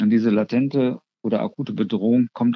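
A man speaks at medium pitch and a moderate pace. He has an ordinary speaking voice. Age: 60s. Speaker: psychiatrist and psychotherapist, clinic head physician. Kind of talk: interview, expert explanation.

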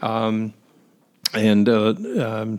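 A man's voice at medium pitch. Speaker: irrigation business developer. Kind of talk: interview. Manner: halting, many fillers.

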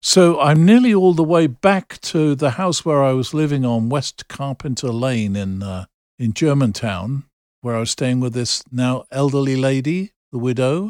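A man with an English accent and a medium pitch speaks at a moderate pace with lively intonation. The sound is dry and close with no echo, on a very clean recording with a silent background. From England. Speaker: pastor. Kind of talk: storytelling.

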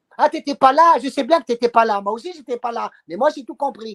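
Dry and close with no echo, a man's extremely high-pitched voice carries lively intonation. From Tunisia. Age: 50s. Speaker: political activist. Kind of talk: interview. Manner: halting with many repetitions.

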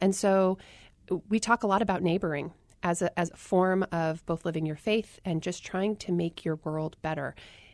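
A woman with a General American accent and an ordinary speaking voice, fairly low in pitch, at a moderate pace with fairly even intonation, in a dry, close recording with no echo over a quiet background. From Arizona. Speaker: public health worker and author. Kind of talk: interview.

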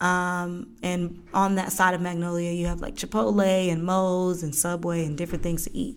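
In an American accent, a woman speaks at a fairly low pitch and a moderate pace, with hardly any pauses. Her pitch varies in an ordinary way, and the room echo is audible. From Georgia, US. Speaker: podcast host. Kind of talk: solo podcast monologue. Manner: casual, many fillers.

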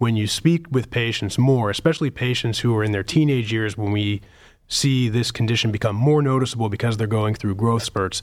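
A man with an American accent and an unremarkable speaking voice, medium in pitch with ordinary pitch variation, at a fairly quick pace on a very clean recording with a silent background. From Pittsburgh, Pennsylvania. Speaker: pediatric surgeon. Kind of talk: medical interview.

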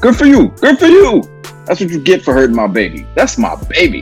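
A man's raspy, put-on character voice at a high pitch and a moderate pace, with faint music in the background.

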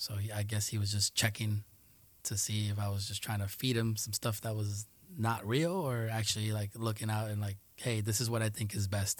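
A man's fairly low, somewhat breathy voice with a Spanish accent, monotone, flat intonation and a moderate pace, on a very clean recording with a silent background. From New York City, Queens (Jackson Heights), part of childhood in Colombia. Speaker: Air Force aircraft maintainer. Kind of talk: casual interview.

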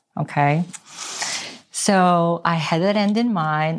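This woman talks at a fairly slow pace in a Korean accent. Her pitch is fairly low, with ordinary variation. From South Korea, moved to US at twelve. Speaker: real estate agent. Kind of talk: interview.

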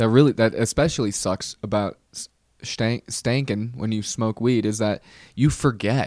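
A man with fairly even intonation on a very clean recording with a silent background. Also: medium pitch for a man, fairly slow pace. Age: 20s. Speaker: comedian and podcast host. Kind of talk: solo podcast monologue. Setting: studio. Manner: casual, halting with many fillers.

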